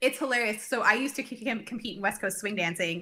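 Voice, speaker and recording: A woman with a bright, sharp tone and fairly high pitch talks at a very fast pace with ordinary pitch variation. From Canada, Cranbrook, British Columbia. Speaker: brain health clinician, business owner. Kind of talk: casual interview chat.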